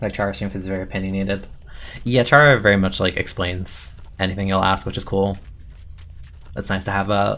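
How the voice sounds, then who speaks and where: A quiet man with a bright, sharp tone speaks with long, frequent pauses. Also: fairly low pitch for a man, ordinary pitch variation, fairly quick pace. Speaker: game streamer. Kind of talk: casual live-stream chat while gaming. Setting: live stream. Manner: soothing.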